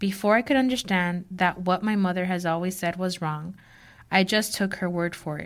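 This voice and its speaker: A woman's ordinary speaking voice at medium pitch and moderate pace, on a very clean recording with a silent background. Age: 30s. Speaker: writing student. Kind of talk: reading aloud.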